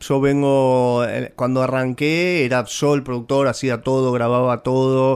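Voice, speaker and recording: A man with a Rioplatense accent at a fairly slow pace. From Buenos Aires. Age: 40s. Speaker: singer-songwriter. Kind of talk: interview. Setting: radio studio.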